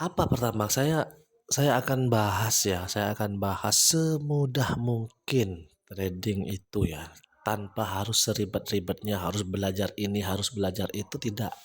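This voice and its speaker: A man's somewhat breathy, fairly low voice at a fairly slow pace, with ordinary pitch variation. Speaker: trading educator. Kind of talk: live trading tutorial. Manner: casual, conversational.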